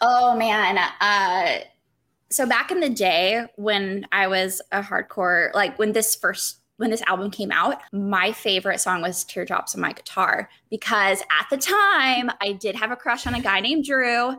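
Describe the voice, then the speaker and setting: In a slight Southern US accent, a woman talks fairly slowly with a bright, sharp tone, fairly high pitch and ordinary pitch variation. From South Carolina. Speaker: podcast guest. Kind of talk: casual chat.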